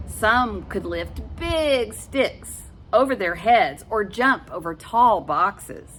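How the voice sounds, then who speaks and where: Music behind a woman talking very slowly. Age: 60s. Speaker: storyteller for children. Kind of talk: reading aloud; casual chat. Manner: warm, gentle storytelling to kids.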